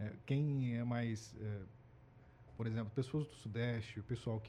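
At a fairly slow pace, a man with a medium pitch and ordinary pitch variation speaks in a somewhat breathy voice with a dark, mellow tone. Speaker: supermarket employee, migrant from another region. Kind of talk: casual chat.

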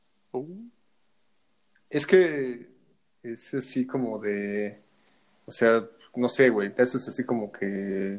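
A man speaks very slowly at a medium pitch, his loudness swinging widely while his pitch varies in an ordinary way. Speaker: podcast co-host. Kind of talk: casual chat.

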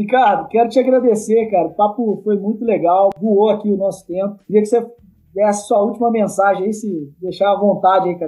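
A man with a high pitch speaks at a fairly quick pace, his intonation fairly even. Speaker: podcast host. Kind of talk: interview.

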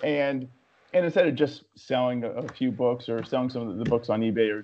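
With an American accent and a plain, everyday voice, a man speaks at a moderate pace, using a medium pitch and fairly even intonation. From West Virginia. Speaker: psychiatrist and documentary filmmaker. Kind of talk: casual interview chat.

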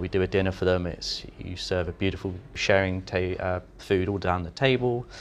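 A man with a very deep, low pitch and fairly even intonation, over music in the background. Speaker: chef. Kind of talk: casual interview conversation. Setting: restaurant, on location.

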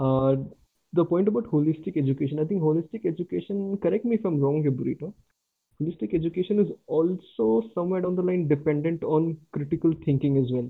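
A man's fairly high voice with an Indian accent, at a fairly quick pace, with ordinary pitch variation. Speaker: former cricketer. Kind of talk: casual chat.

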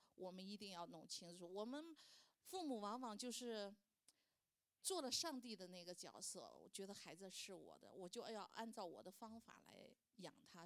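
A woman's normal speaking voice at a medium pitch, with a moderate pace and ordinary pitch variation. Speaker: churchgoer sharing as a mother. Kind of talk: testimony.

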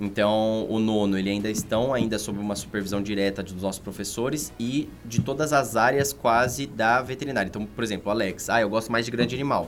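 Over background music, a man talks at a medium pitch and a fairly quick pace, with fairly even intonation and hardly any pauses. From São Paulo metro area (São Bernardo do Campo). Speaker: veterinary surgeon and course coordinator. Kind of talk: casual podcast interview.

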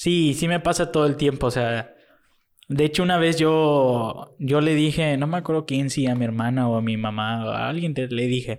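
In a very clean recording over a silent background, a man with an unremarkable speaking voice talks at a moderate pace. His pitch is fairly high, with ordinary pitch variation. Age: young. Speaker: guest friend. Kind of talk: casual chat.

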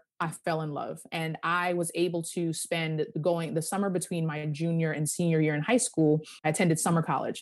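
Against a quiet background, a woman with a plain, everyday voice and an American accent talks at a moderate pace, fairly low in pitch with fairly even intonation. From Long Island, New York. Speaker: lawyer and career coach. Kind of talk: interview.

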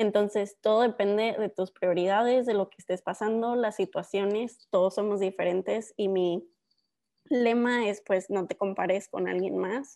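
A woman speaks fairly slowly at a medium pitch, her tone dark and mellow and her intonation fairly even. Her loudness swings widely against a quiet background. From northern Mexico (Ciudad Juárez, Coahuila). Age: 20s. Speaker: PhD student and science content creator. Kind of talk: interview.

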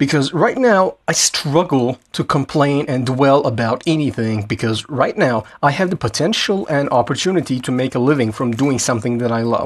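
Against a quiet background, a man with a normal speaking voice talks at a moderate pace and a fairly high pitch, with ordinary pitch variation. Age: 20s. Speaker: entrepreneur podcast host. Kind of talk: solo monologue.

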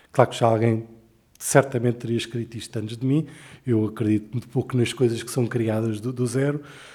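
A man speaks in a dark, mellow tone. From Portugal, Lisbon. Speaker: writer. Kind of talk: interview conversation. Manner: halting, with many repetitions.

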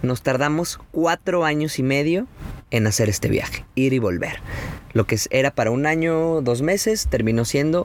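A man speaks at a fairly slow pace with lively intonation in a Mexican accent, over noticeable background noise. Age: 30s. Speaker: travel photographer and podcaster. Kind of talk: casual chat. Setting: outdoors by the sea in a camper van.

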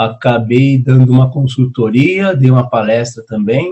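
A man talks fairly slowly at a medium pitch, his voice somewhat breathy. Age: 30s. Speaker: entrepreneur and consultant. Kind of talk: casual chat.

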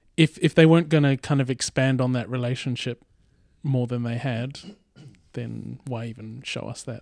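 An unremarkable speaking voice from a man at a medium pitch and moderate pace, fairly even in intonation, with big swings in loudness, dry and close with no echo, in a very clean recording with a silent background. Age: late 30s. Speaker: podcast co-host. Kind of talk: casual chat.

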